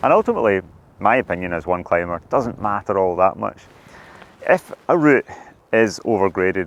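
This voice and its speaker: A man with a Scottish accent, fairly low pitch and ordinary pitch variation, at a moderate pace broken by long, frequent pauses. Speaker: professional climber. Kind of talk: monologue to camera.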